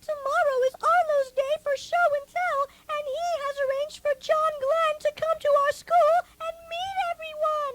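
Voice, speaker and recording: A woman in a squeaky put-on character voice, pitched extremely high, moves at a moderate pace with hardly any pauses and very wide pitch swings, the sound dry and close with no echo. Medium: audio drama. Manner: warm, sweetly formal.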